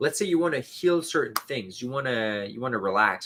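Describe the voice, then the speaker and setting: A man talks at a moderate speed and a medium pitch, his pitch varying in the usual way. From Canada. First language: French. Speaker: spiritual youtuber. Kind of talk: casual livestream chat. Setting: solo livestream. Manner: hesitant, filler-heavy.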